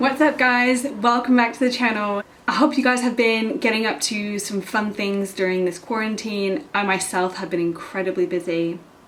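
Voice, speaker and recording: Over noticeable background noise, a woman speaks at a moderate pace with hardly any pauses, using a fairly high pitch and ordinary pitch variation. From Belgium, international upbringing between US and UK. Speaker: cooking youtuber. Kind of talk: casual cooking vlog. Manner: animated.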